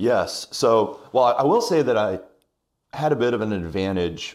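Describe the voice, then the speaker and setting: A man's plain, everyday voice with an American accent, fairly slow and lively in intonation, very clean recording, silent background. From South Carolina Midlands (Irmo). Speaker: wedding venue owner and former teacher. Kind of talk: casual interview chat.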